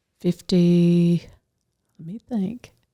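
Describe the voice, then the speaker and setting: A woman talks at a very slow pace in a fairly low pitch, with a dark, mellow tone and fairly even intonation. The sound is dry and close, with no echo. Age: 80s+. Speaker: retired secretary. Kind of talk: interview. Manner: brief answers.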